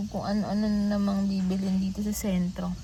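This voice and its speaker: A woman of medium pitch talks in a monotone, flat intonation. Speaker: vlogger, overseas worker. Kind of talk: casual vlog talk. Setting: cafe. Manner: loud.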